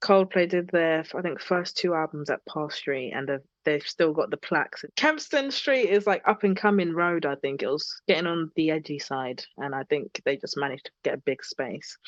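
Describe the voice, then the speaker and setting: A woman with a British accent and a fairly low pitch talks at a moderate pace with lively intonation and hardly any pauses, the sound dry and close with no echo over a quiet background. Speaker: singer-songwriter. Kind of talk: podcast interview. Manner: animated.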